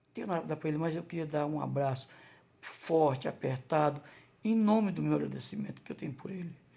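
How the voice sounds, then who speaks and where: A man with a fairly high pitch talks at a very fast pace. His tone is dark and mellow. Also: ordinary pitch variation. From Ceará, Brazil (Crateús). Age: 60s. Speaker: vlogger, former construction worker and waiter. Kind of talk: personal testimony vlog. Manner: halting, with false starts.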